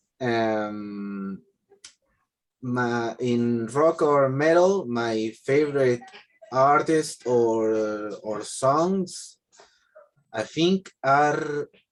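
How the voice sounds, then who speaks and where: Medium pitch from a male speaker, with pitch moving in an ordinary way. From Argentina. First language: Spanish. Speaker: English language student. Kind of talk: language class speaking practice. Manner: halting, many fillers and repetitions.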